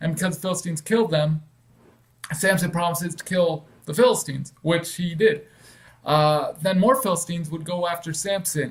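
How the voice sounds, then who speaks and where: A man talks at a fairly quick pace. His pitch is high, with ordinary variation. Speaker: online Bible teacher. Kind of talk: casual Bible teaching monologue. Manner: fast.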